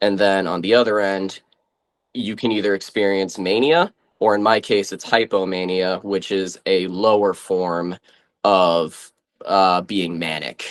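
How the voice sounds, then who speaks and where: A man speaks at a fairly slow pace with a very deep, low pitch. His intonation stays fairly even, in an Eastern New England accent. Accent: Eastern New England (Massachusetts) American. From Massachusetts, US. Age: 20s. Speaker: interview guest. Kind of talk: interview. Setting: video call.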